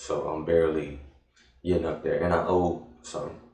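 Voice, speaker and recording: Audible room echo surrounds the voice. A man with an American accent speaks at a moderate pace. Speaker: vlogger. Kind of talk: casual vlog monologue. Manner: hesitant, many fillers.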